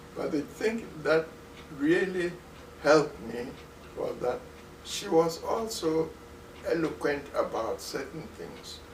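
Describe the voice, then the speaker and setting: A man with a Ghanaian accent speaks at a very slow pace, leaving long, frequent pauses. His loudness swings widely, over noticeable background noise. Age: 90s. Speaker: retired musicologist professor. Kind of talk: interview answer.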